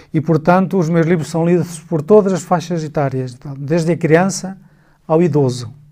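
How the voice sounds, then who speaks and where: With a dark, mellow tone, a man speaks at a moderate pace in a fairly high voice with fairly even intonation. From northern Portugal, emigrated to Luxembourg at 17. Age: 60s. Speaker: writer. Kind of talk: interview. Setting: studio.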